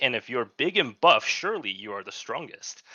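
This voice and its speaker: A Chinese accent at a moderate pace. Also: man. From China. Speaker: podcast co-host, gamer. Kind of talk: casual chat.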